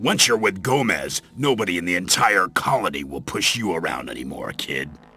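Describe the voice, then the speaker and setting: A man speaks at a moderate pace in a put-on character voice pitched very deep and low. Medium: video game. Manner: gruff, sardonic, condescending.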